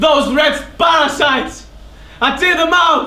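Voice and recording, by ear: A man's put-on character voice, extremely high in pitch, bright and sharp in tone, slow in pace, with audible room echo. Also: ordinary pitch variation.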